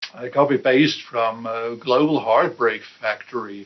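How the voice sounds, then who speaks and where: Someone with a European accent speaks at a very slow pace. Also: man. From Austria, Vienna. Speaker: independent musician. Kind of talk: interview answers, casual monologue. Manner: hesitant, many fillers.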